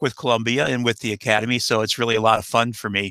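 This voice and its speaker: A man with an American accent and a bright, sharp tone. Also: dry, close sound with no echo. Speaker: nuclear energy expert. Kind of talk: interview Q&A. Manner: halting, many fillers.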